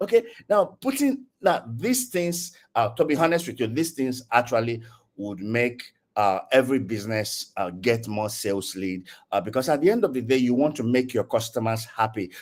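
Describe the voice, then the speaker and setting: Speaking with a Nigerian accent, a man uses a medium pitch and lively intonation. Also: moderate pace. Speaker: tech community speaker. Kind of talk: online lecture. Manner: hesitant, many fillers.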